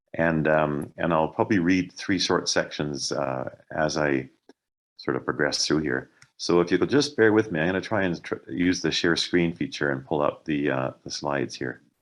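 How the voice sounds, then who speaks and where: At a moderate pace, a man talks with vocal fry in a very deep, low pitch and ordinary pitch variation. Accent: western Canadian. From Canada, Alberta (Calgary). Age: 60s. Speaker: author and ecologist. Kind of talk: book talk. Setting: video call. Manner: halting, many fillers.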